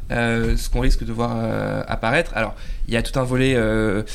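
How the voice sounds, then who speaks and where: This man's voice sits at a medium pitch, with ordinary pitch variation. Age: 30s. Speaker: journalist and panelist. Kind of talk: casual panel discussion.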